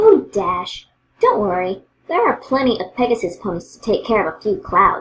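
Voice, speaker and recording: This is a female-sounding, put-on character voice at a fairly high pitch. The pace is moderate. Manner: bubbly, upbeat.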